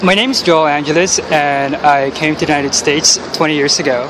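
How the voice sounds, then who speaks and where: A man's fairly high voice with fairly even intonation and noticeable background noise. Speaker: toy inventor. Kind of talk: interview at a conference.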